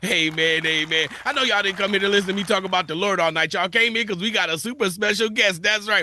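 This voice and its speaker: A man's raised, projected voice at a high pitch, with an animated tone, ordinary pitch variation, very even loudness, a very fast pace, hardly any pauses and noticeable background noise. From Buffalo, New York. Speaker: radio host. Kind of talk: radio interview.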